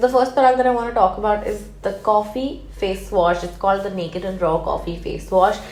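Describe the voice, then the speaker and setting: With music in the background and audible room echo, a woman talks at a fairly quick pace with hardly any pauses, a medium pitch, and ordinary pitch variation. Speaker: beauty YouTuber. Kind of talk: product review. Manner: hyper, fast.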